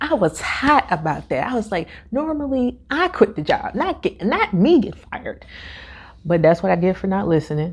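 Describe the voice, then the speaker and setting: A woman talks at a moderate pace. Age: 20s. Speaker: podcast host. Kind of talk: casual talk to camera.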